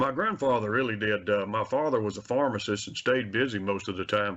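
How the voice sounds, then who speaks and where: At a fairly quick pace and medium pitch, a man speaks with a Mississippi accent. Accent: US Southern (Mississippi). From Mississippi, Carthage. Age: 60s. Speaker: wildlife agency handgun safety instructor. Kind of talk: radio interview.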